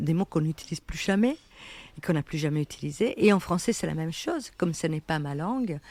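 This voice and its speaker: A woman with an Italian accent at a very fast pace, a fairly low pitch and lively intonation, in a very clean recording with a silent background. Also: dry, close sound with no echo. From Italy. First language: Italian (speaking French). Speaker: writer. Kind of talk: interview. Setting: café.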